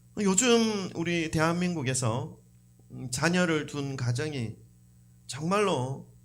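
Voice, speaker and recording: Speaking at a very slow pace, a man uses a fairly high pitch and lively intonation, with audible room echo around him. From South Korea. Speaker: pastor. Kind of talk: sermon. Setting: church. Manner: conversational.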